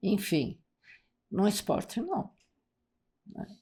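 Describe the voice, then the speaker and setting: Very slow speech from a woman, captured cleanly against total silence. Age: 70s. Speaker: masters athlete, swimmer and sailor. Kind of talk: podcast interview.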